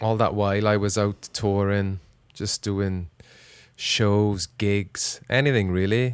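Spoken at a very slow pace in a strong Welsh accent, the voice keeps a fairly even intonation on a very clean recording with a silent background. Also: man, fairly low pitch for a man. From Wales. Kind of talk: casual chat, podcast. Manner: jokey, relaxed.

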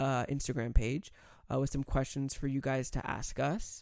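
The recording is very clean, and the background is silent. A man talks at a moderate pace. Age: 20s. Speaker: podcast host. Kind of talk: casual chat. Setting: studio. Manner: animated.

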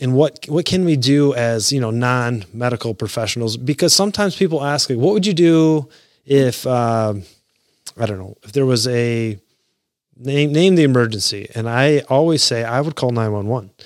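Lively intonation marks a man's ordinary speaking voice at medium pitch. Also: moderate pace. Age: 40s. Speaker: podcast host and paramedic firefighter. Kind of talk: solo podcast talk on emergency preparedness.

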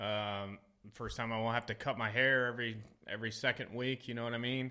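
Using a plain, everyday voice, a man talks at a moderate pace with a medium pitch and fairly even intonation. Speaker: army veteran. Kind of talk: casual chat.

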